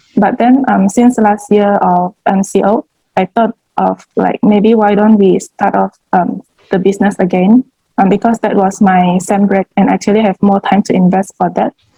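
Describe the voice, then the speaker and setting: With a dark, mellow, somewhat breathy tone, a woman speaks at medium pitch and a moderate pace with fairly even intonation, the sound dry and close with no echo. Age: 20s. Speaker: student and home baker. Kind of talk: interview. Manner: hesitant, many fillers.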